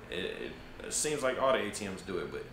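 Noticeable background noise accompanies a man who talks at a fairly quick pace. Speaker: travel vlogger. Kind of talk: casual vlog chat. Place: home room.

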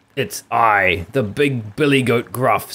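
At a fairly slow pace, a man puts on a character voice. His pitch is medium.

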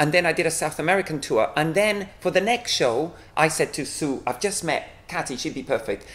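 The pace is fairly quick. The pitch varies in an ordinary way. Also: man, high pitch for a man. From Cuba. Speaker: juggler and company director. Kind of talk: interview. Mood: relaxed, animated. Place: meeting room.

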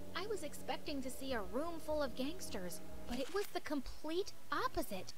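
Clear music plays in the background as a woman speaks at a moderate pace in a high pitch. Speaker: reaction narrator. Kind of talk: story narration. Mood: amused, laughing at times. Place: home room. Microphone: studio mic.

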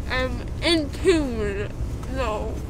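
A woman is speaking, with noticeable background noise. The sound is dry with no echo. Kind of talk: casual vlog chat. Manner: slurred, dazed post-anesthesia speech. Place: car.

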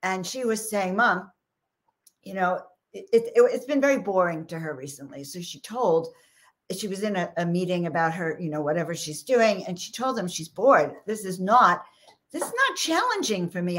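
The intonation is lively. Loudness swings a great deal. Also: woman, medium pitch for a woman. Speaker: spiritual coach and live-stream host. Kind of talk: live spiritual talk to an online audience. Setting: live online stream with viewer comments. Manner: animated, excitable, then slows down.

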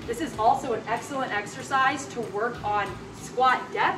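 A woman speaks at a moderate pace with ordinary pitch variation, with noticeable background noise audible. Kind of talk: tutorial. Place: gym.

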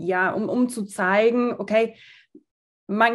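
Against a quiet background, a woman talks in a fairly high pitch with fairly even intonation. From southern Germany, small town. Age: 30s. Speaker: fashion designer and founder; podcast guest. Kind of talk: interview. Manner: hesitant with many fillers. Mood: calm, thoughtful. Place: home room. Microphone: video call.

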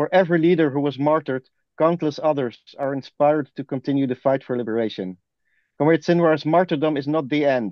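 With a normal speaking voice, a man talks at a fairly quick pace and fairly high pitch with ordinary pitch variation. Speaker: activist. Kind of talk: reading aloud. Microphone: dodgy internet connection.

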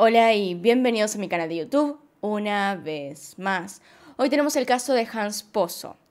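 A woman's fairly slow, lively-toned speech in an Argentine accent. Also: fairly high pitch for a woman, quiet background. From Argentina. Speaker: true crime YouTuber. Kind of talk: scripted narration. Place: home room. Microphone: studio mic.

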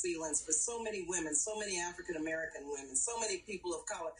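A woman at a fairly quick pace with very wide pitch swings over light background noise. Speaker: politician as remote guest. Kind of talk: interview answer. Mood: joyful, proud. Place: home room. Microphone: video call.

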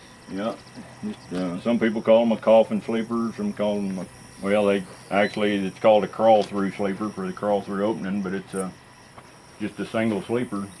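With light background noise, a man with a Texas accent speaks at a moderate pace in a fairly low pitch and a monotone, flat intonation. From north Texas (Seymour), raised from 14; born Iowa. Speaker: cattle truck driver; interviewee. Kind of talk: interview. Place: open country.

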